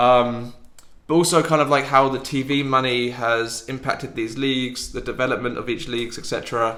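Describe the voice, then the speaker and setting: With an English accent, a man at medium pitch speaks at a moderate pace with fairly even intonation and a bright, sharp tone, while audible room echo fills the space. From England. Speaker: football podcast host. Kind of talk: casual chat. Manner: hesitant.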